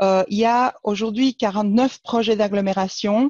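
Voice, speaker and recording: Dry and close with no echo, the recording carries a woman's dark, mellow tone. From Argentina, Buenos Aires. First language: Spanish (speaking French). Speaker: regional government planning official. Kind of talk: webinar presentation. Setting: online webinar. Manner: hesitant, many fillers.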